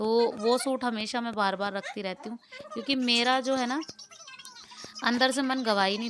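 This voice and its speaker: A woman speaks at a moderate pace with a fairly high pitch. Her pitch varies in an ordinary way, and there is noticeable background noise. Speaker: vlogger. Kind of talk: casual vlog narration. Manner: chatty, conversational.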